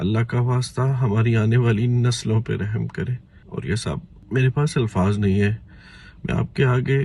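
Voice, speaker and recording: Somewhat breathy, a man talks with a dark, mellow tone at a medium pitch. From Pakistan. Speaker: caller. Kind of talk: emotional appeal.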